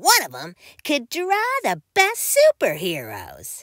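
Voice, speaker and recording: Her voice extremely high in pitch, a woman speaks at a very slow pace in a dry, close sound with no echo. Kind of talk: bedtime story. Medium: read story. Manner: gentle, expressive read-aloud.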